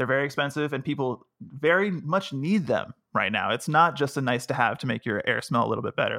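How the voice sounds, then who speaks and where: The sound is dry and close with no echo, in a very clean recording with a silent background. A man speaks at a fairly high pitch in a bright, sharp tone. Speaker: tech guides editor. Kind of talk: casual chat. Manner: slight mumble.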